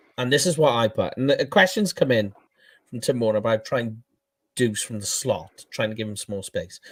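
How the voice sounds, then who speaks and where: In a Welsh accent, a man of medium pitch talks at a moderate pace with lively intonation. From Wales. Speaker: NFL fan podcast host and writer. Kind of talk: casual sports discussion.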